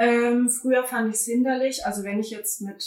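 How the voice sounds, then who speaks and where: This is a woman with a plain, everyday voice. She speaks at a moderate pace with fairly even intonation. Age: 20s. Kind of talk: casual interview chat.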